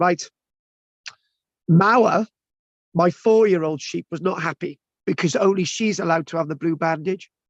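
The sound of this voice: A man with a high pitch talks at a fairly slow pace, leaving long, frequent pauses. The sound is dry and close with no echo, and his pitch variation is ordinary.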